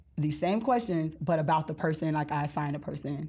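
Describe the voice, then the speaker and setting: Recorded very cleanly against a silent background, a woman talks at a very fast pace with an American accent. Her pitch is very deep and low, her tone dark and mellow. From US South, Mississippi Gulf Coast. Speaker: author and speaker. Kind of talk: casual interview.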